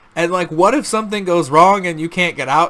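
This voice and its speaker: Amid noticeable background noise, a man with a fairly high voice talks in an animated tone at a fairly quick pace. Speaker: video game and media reviewer. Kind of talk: casual review monologue. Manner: fast; animated, halting with restarts.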